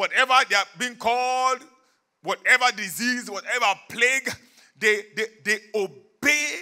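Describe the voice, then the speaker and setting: A man speaks in a raised, projected voice. His pitch varies in an ordinary way, and the background is quiet. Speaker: preacher. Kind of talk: sermon. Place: church. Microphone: handheld.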